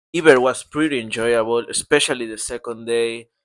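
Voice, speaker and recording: Captured in a very clean recording with a silent background, a man speaks at a moderate pace in a bright, sharp tone with fairly even intonation. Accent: non-native. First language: Portuguese. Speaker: vlogger. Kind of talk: casual vlog narration. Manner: halting.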